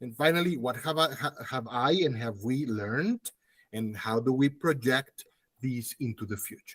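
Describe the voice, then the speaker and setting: A man talks at a moderate pace with ordinary pitch variation. He has an ordinary speaking voice, recorded dry and close with no echo. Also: medium pitch for a man. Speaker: academic conference speaker. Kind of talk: conference presentation.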